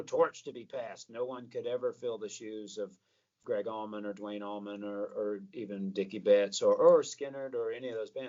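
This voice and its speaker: A man talks at a fairly quick pace with a Southern US accent. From US South, Atlanta, Georgia. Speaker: rock singer and guitarist. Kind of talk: interview.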